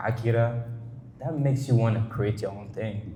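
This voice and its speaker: A man with a French accent talks at a fairly quick pace amid audible room echo. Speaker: artist. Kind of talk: casual interview. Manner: halting, many false starts and fillers.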